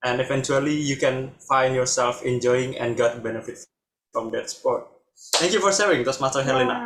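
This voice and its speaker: A man at a fairly quick pace and medium pitch. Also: ordinary pitch variation. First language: Indonesian. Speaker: table topics master at speaking club. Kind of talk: meeting hosting.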